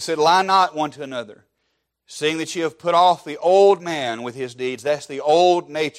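The background is silent in this very clean recording. A man with a Southern US accent talks at a moderate pace with fairly high pitch and ordinary pitch variation. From Alabama, US South. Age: 30s. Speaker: pastor. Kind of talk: sermon.

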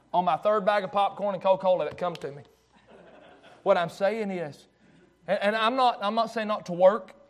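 A man speaks at a high pitch. His pace is moderate, with ordinary pitch variation.

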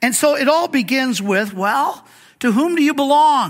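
Lively intonation carries this moderately paced speech, captured in a very clean recording with a silent background. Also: man. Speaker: pastor and Bible teacher. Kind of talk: sermon. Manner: halting, frequent fillers and repeats.

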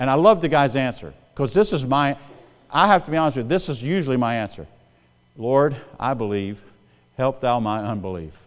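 Over music in the background, a man with a Southern US accent talks at a fairly quick pace, his pitch swinging very widely and his speech broken by long, frequent pauses. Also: medium pitch for a man. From US South, South Carolina. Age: 60s. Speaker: pastor. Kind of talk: sermon. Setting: church. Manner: fast talker.

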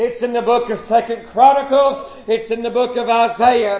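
With an American accent, a man speaks at an extremely high pitch in a monotone, flat way, amid audible room echo and noticeable background noise. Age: 40s. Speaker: pastor. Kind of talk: sermon. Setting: church. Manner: halting.

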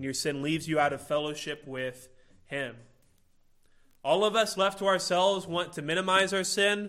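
Ordinary pitch variation in a man's bright, sharp tone. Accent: Midwestern American. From Illinois, US Midwest. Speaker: pastor. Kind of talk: sermon.

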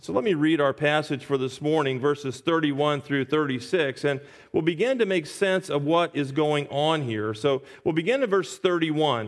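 This is a normal speaking voice at a moderate pace. Its pitch variation is ordinary. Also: man, fairly high pitch for a man. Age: 60s. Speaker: pastor. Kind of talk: sermon. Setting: church.

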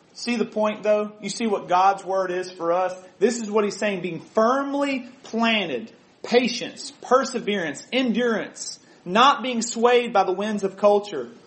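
A man's high-pitched voice with ordinary pitch variation at a fairly slow pace, amid audible room echo and noticeable background noise. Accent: American. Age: 30s. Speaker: preacher. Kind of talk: sermon.

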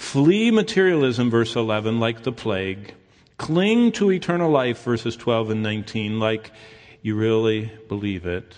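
A man with an American accent, medium pitch and lively intonation, at a fairly slow pace over background music. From Michigan, US Midwest. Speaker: pastor. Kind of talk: sermon.

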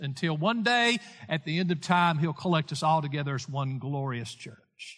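A man talks with a Tennessee accent at a moderate pace. His intonation is lively. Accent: Southern US (Tennessee). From US South, Lawrence County, Tennessee. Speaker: pastor. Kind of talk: sermon.

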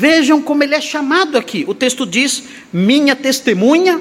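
A man is talking. His pace is very slow. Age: 60s. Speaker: pastor. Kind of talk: sermon.

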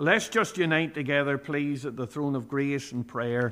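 With a plain, everyday voice, a man speaks at a moderate pace and a fairly high pitch, using ordinary pitch variation. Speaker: preacher. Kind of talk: fervent prayer, in a formal archaic church idiom (thee, thou, thy). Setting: church prayer meeting. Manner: solemn, reverent and earnest, with a petitioning, pleading tone.

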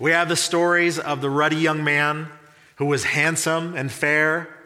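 Speaking at a fairly slow pace, a man with a bright, sharp tone and fairly high pitch keeps a monotone, flat intonation amid audible room echo. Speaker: pastor. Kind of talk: sermon.

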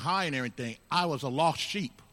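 The man's voice has a bright, sharp tone. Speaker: congregation member. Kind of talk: testimony. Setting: church.

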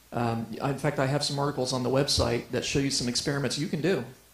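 A man talks at a very fast pace with fairly even intonation, and audible room echo can be heard. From US Midwest (Ohio). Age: 40s. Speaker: creationist speaker. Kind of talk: lecture.

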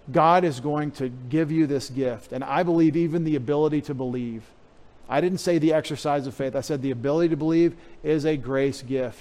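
In an unremarkable speaking voice, a man with an American accent talks fairly quickly at a fairly high pitch with fairly even intonation. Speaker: pastor. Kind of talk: sermon.

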